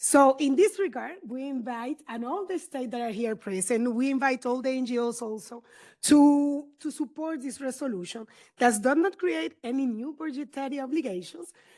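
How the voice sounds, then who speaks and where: A woman with a high pitch at a moderate pace, very clean recording, silent background. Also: lively intonation. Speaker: diplomat. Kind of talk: formal statement at conference side event. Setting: conference room side event. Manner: halting, self-correcting.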